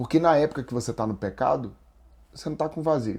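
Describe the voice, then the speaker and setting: On a very clean recording with a silent background, a man with a Brasília accent talks at a fairly quick pace with vocal fry and ordinary pitch variation. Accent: Brasília accent (Brazilian Portuguese). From Brazil, Brasília. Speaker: spiritual and business counselor, guest. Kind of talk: faith testimony in podcast interview.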